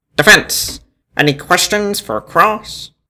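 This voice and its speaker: A man puts on a character voice, pitched high and moving at a fairly slow pace. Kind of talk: courtroom speech. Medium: read story.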